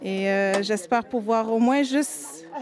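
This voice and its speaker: Against noticeable background noise, a woman speaks with a fairly high pitch and ordinary pitch variation. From Quebec, Montreal. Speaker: youth ambassador. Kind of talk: interview testimony.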